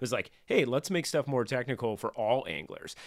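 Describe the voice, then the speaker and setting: A man with an American accent and a plain, everyday voice talks at a fairly quick pace and medium pitch on a very clean recording with a silent background. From Northern California. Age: 40s. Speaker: outdoor gear sales rep. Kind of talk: casual chat.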